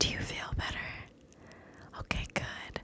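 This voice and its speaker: A woman speaks in a whisper. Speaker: ASMR creator. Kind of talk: ASMR close-whisper video. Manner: whispered, soft, slow. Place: home room. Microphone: studio mic.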